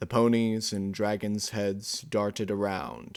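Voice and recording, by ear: This is reading aloud in a natural voice. The words are read as written.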